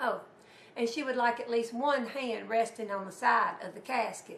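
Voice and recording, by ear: A woman with a fairly high pitch, a fairly bright tone and ordinary pitch variation, in audible room echo. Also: moderate pace.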